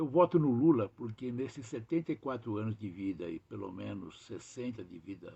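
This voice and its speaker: Lively in intonation, a man speaks at a moderate pace and a medium pitch. His tone is dark and mellow, and somewhat breathy. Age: 70s. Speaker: longtime political activist. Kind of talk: testimony.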